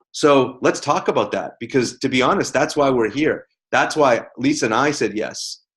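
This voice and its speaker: The man's tone is animated, his pitch fairly high, with ordinary pitch variation. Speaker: network marketing team leader. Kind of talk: team conference call talk. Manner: fast.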